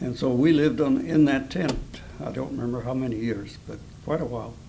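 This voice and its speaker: A man at a moderate pace with audible room echo. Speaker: Depression-era eyewitness. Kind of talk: oral history interview. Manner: halting.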